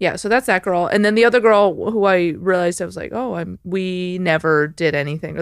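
Here is an unremarkable speaking voice from a woman with an American accent, pitched fairly low. The recording is very clean, with a silent background. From Chicago suburbs, US Midwest. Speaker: stand-up comedian. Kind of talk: casual chat.

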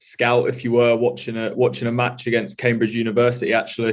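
This man speaks at a medium pitch with an English accent. His intonation is monotone and flat. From England, Norfolk. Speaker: rugby player. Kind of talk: interview. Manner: halting.

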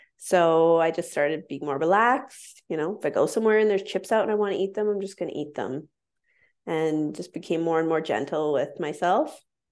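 Against a quiet background, a woman in an unremarkable speaking voice talks at a fairly quick pace with fairly low pitch and lively intonation. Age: 30s. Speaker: intuitive eating counselor. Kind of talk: casual chat.

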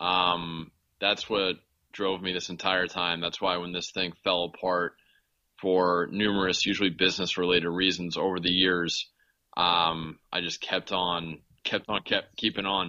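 A man's very deep, low voice with an American accent at a moderate pace. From Los Angeles, US. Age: 30s. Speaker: podcast host and investigative journalist. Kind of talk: interview, casual chat.

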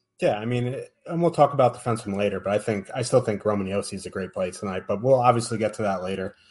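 A somewhat breathy, medium-pitched male voice at a very fast pace with ordinary pitch variation. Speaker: podcast host. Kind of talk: casual sports betting show. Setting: live stream.

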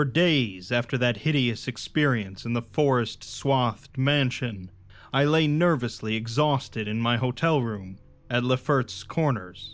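In a normal speaking voice, a man at medium pitch talks at a fairly slow pace with ordinary pitch variation. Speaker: audiobook narrator. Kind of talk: dramatic first-person horror narration read aloud. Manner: dark, brooding storytelling with rising dread; measured, deliberate pacing over long ornate sentences.

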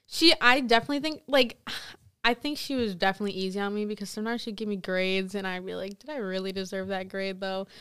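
A very fast woman's voice in an American accent, medium in pitch with ordinary pitch variation, bright and sharp in tone, with big swings in loudness. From US Midwest. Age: young. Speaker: college student. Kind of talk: casual chat. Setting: studio. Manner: nervous.

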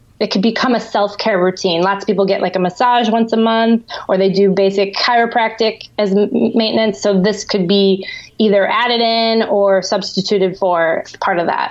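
With an American accent, a woman uses a normal speaking voice at medium pitch and a moderate pace. Her intonation is fairly even and her loudness very even. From US Midwest, outside Chicago. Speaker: acupuncturist and creator. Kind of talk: interview.

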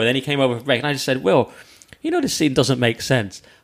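A man speaks with a Cumbrian accent. His pace is very fast. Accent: Cumbrian northern English. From northern England, Lake District. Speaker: comedian. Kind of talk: casual chat.

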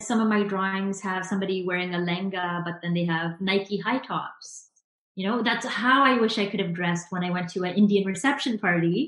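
A woman with a Canadian accent speaks at a fairly quick pace in a normal speaking voice, her pitch medium and its variation ordinary. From Canada, Vancouver suburbs. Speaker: graphic designer and illustrator. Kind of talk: interview.

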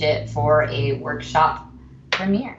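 With an American accent, a woman talks through noticeable background noise and audible room echo. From Austin, Texas. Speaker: actor and theater producer. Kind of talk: interview.

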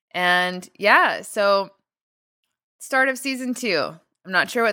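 A woman talks at a fairly slow pace in a bright, sharp tone. Her pitch moves with ordinary variation. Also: very clean recording, silent background. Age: 30s. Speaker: podcast host and business founder. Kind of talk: solo podcast monologue.

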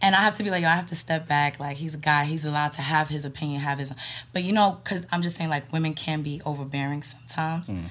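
Speaking at a very fast pace, a woman talks with an American accent. Her pitch is very deep and low, with ordinary variation. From New York. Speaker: podcast guest. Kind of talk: casual chat.

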